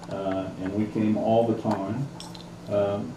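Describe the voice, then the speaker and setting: A man speaks at a very slow pace in a Midwestern US accent. Noticeable background noise and audible room echo fill the recording. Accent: US Midwest. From Kansas, Marion. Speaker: lawyer and oral history interviewer. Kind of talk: oral history interview. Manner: hesitant, many fillers.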